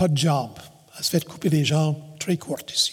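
Noticeable background noise under a man speaking at a moderate pace in a fairly high pitch. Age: 70s. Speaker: pastor. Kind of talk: sermon.

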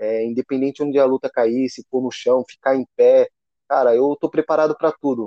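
A man with a plain, everyday voice, medium in pitch, with fairly even intonation and a moderate pace. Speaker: MMA fighter. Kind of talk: interview.

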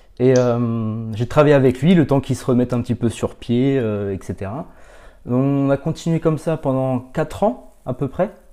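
A medium-pitched man with a dark, mellow tone at a fairly slow pace, ordinary pitch variation and a quiet background. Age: 30s. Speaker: professional coach and consultant. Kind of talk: podcast interview. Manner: halting, many repetitions and fillers.

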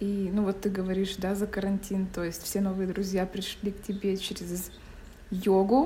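A woman speaks at a moderate pace and a medium pitch. Her intonation stays monotone and flat. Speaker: podcast co-host. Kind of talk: casual chat.

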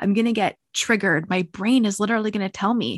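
A woman's somewhat breathy voice, dry and close with no echo, against a quiet background. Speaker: podcast host. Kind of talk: casual interview.

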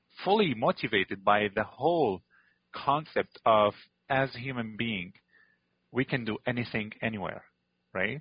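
A man speaks with an Arabic accent. His pace is moderate and his pitch variation ordinary. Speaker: chocolate company CEO, former refugee. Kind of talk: interview, personal story.

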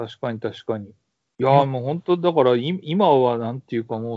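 A man speaks in a plain, everyday voice at medium pitch. His intonation is lively. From Kansai, Nara city. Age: 30s. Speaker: university professor. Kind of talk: casual interview. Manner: laughs often.

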